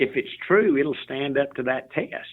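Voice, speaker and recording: Moderate-paced speech from a man in a Southern US accent. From US South, Memphis, Tennessee. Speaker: CEO, author and motivational speaker. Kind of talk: interview conversation.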